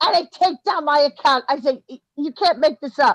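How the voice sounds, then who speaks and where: A woman talks with a Brooklyn accent. The sound is dry and close, with no echo. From New York, Brooklyn. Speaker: former musician, online commentator. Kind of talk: casual interview chat. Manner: animated.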